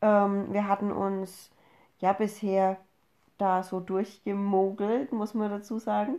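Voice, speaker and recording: Very slowly, a woman speaks in a medium-pitched, dark, mellow voice with monotone, flat intonation. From Upper Franconia, Bavaria. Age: 30s. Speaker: podcast host, mother. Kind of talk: casual chat.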